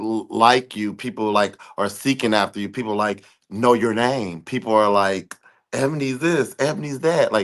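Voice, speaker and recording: An animated tone with ordinary pitch variation over a quiet background. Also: man. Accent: American. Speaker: podcast host. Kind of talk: casual chat.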